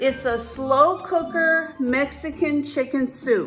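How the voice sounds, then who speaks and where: Backed by music, a woman's high, raised and projected voice moves at a very slow pace with ordinary pitch variation. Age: 60s. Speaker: home cook and weight-loss vlogger. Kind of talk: cooking tutorial to camera.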